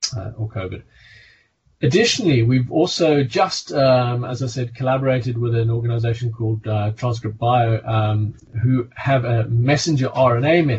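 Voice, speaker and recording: A somewhat breathy man with a South African accent and ordinary pitch variation. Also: medium pitch for a man, moderate pace. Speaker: physician and pharmaceutical medical director. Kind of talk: interview. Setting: video call.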